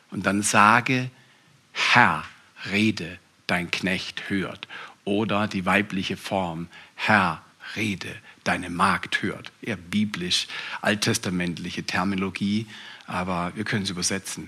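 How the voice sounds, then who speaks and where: A man talks at a very slow pace, leaving long, frequent pauses, while noticeable background noise carries on. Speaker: pastor. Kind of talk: sermon. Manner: animated.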